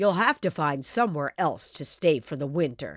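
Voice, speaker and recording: In a put-on character voice, a woman growls at a moderate pace in a very deep, low register, on a very clean recording with a silent background. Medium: read story.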